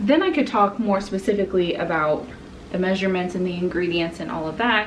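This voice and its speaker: Against noticeable background noise and audible room echo, a woman talks with ordinary pitch variation in an American accent. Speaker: stay-at-home mom vlogger. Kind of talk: casual chat.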